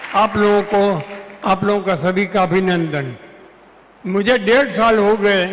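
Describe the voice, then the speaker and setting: A high-pitched male voice with ordinary pitch variation over noticeable background noise. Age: 80s+. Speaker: retired lawyer giving health testimony. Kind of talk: testimony.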